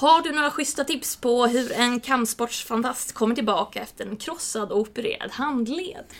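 Moderate pace with hardly any pauses and ordinary pitch variation. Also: woman, high pitch for a woman. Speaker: podcast host. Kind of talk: casual chat.

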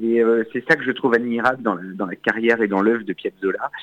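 Here a man talks at medium pitch. The sound is dry and close, with no echo. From France, Auvergne. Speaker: accordionist. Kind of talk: radio interview. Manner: hesitant, with fillers and repetitions.

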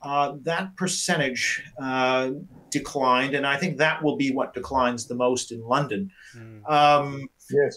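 In a Canadian accent, an ordinary speaking voice moves at a fairly slow pace with ordinary pitch variation. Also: man, fairly high pitch for a man. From Canada. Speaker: professor of politics. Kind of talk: panel discussion.

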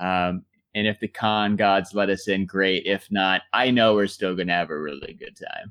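Against a silent background in a very clean recording, an unremarkable speaking voice moves at a moderate pace with fairly even intonation and a dry, close sound with no echo. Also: man, fairly low pitch for a man. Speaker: podcast host. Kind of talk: casual chat.

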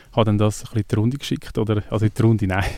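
In a very clean recording with a silent background, a man with a Swiss accent speaks in a dark, mellow tone at a fairly low pitch. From Switzerland. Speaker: musician. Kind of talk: casual interview.

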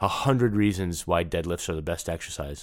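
Talking very fast, a man with an American accent is heard on a very clean recording with a silent background. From New York. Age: 50s. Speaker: fitness trainer and former touring bassist. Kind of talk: casual interview.

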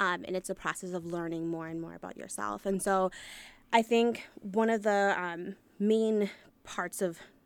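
Ordinary pitch variation marks this woman's normal speaking voice at a medium pitch. She keeps a moderate pace. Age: 30s. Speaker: food truck owner. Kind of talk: interview.

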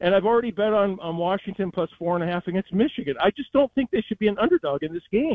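A man races along at a very fast pace with hardly any pauses, his high-pitched voice full of lively intonation. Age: 60s. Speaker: sports radio host. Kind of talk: casual chat.

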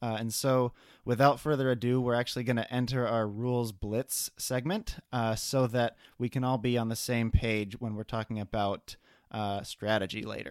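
A man with an unremarkable speaking voice and a medium pitch talks at a moderate pace with fairly even intonation, in a dry, close sound with no echo on a very clean recording with a silent background. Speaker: board game podcast co-host. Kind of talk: casual chat. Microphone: new microphone.

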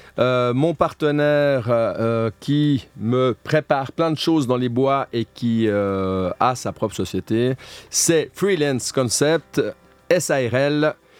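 Music plays in the background as the speaker talks at a very slow pace with ordinary pitch variation. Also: man, medium pitch for a man. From French-speaking Switzerland (Morges). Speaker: reality TV contestant. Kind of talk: radio interview. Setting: studio.

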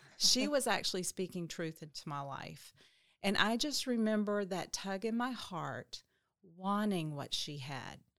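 Speaking fairly slowly with a Southern US accent, a woman at a medium pitch moves through very wide pitch swings. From Arkansas (Little Rock). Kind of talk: testimony.

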